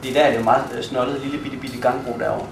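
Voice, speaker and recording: Very fast speech over noticeable background noise. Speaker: urban planning workshop facilitator. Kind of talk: workshop presentation. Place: hall. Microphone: camera far.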